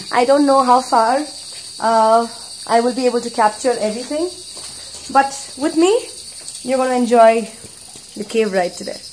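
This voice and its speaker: A woman speaks in a high voice with long, frequent pauses. Light background noise is present. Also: ordinary pitch variation, moderate pace. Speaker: travel vlogger. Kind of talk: casual vlog chat. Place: tunnel cave. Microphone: phone near.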